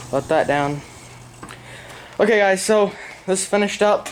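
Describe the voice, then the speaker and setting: The speaker moves at a moderate pace with ordinary pitch variation. Noticeable background noise is present. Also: man. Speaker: DIY video creator. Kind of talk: casual tutorial. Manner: casual, filler-heavy.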